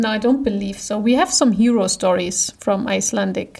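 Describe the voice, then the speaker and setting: With a German accent, a woman speaks at a moderate pace in a fairly high, somewhat breathy voice. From eastern Germany. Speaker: podcast co-host. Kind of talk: casual chat.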